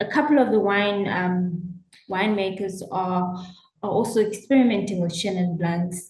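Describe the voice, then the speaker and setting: In a room with audible echo, a woman with a medium pitch and a somewhat breathy voice speaks at a moderate pace with ordinary pitch variation. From South Africa. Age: 30s. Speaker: winemaker. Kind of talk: interview.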